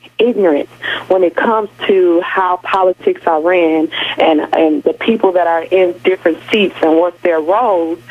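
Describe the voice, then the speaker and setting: Over noticeable background noise, the speaker talks at a moderate pace in an American accent. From Milwaukee, Wisconsin. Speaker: radio call-in caller. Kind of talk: phone-in comment. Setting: phone line.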